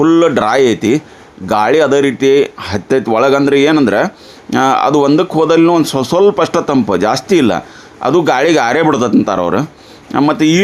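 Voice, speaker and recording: Background noise is noticeable. The man's voice sits fairly high. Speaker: farm video channel host. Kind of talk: on-site farm interview.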